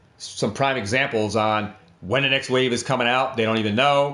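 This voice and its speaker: A man speaks in a normal speaking voice. His pace is moderate. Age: 50s. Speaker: trading card investing YouTuber. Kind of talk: tutorial. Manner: casual, repetitive, conversational.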